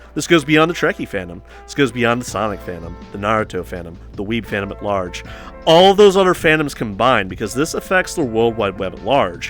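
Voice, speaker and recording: A man speaks at a medium pitch and a fairly quick pace over background music, his pitch swinging very widely and his loudness rising and falling in big swings. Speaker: online drama commentator. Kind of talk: casual commentary video. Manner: casual, conversational.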